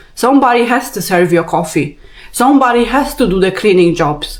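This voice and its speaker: With a Polish accent, a woman speaks in a fairly high voice with lively intonation. Her pace is moderate, and background noise is noticeable. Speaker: vlogger. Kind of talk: rant. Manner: animated.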